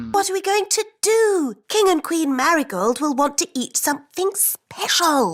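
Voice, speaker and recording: This cartoonish character voice sits at an extremely high pitch, moving at a moderate pace with hardly any pauses. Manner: sensible, fretful.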